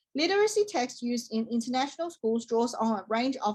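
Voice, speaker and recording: A woman with a Chinese accent talks at a fairly quick pace in a high pitch. Her pitch varies in an ordinary way. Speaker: teacher-training student. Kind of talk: class presentation. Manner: formal.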